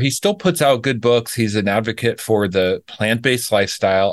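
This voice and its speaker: Against a quiet background, a man speaks with lively intonation at a fairly quick pace. His is a plain, everyday voice at a medium pitch. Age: 50s. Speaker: raw vegan health coach. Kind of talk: casual interview.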